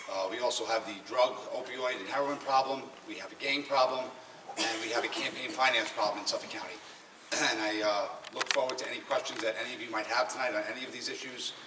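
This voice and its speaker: A man speaks at a very fast pace with fairly even intonation, his voice carrying audible room echo and noticeable background noise. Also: medium pitch for a man. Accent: Long Island. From Long Island, New York. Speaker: political candidate. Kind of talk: campaign speech. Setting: public meeting with audience.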